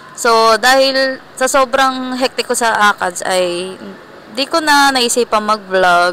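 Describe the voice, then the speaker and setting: A woman's pitch varies in an ordinary way while noticeable background noise carries on behind her. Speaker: vlogger. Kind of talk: casual vlog. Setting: indoor mall. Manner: soft-spoken.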